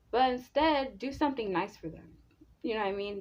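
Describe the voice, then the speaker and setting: With a normal speaking voice and lively intonation, a woman talks at a moderate pace against a quiet background. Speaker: relationship advice vlogger. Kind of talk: casual advice monologue. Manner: casual, filler-heavy.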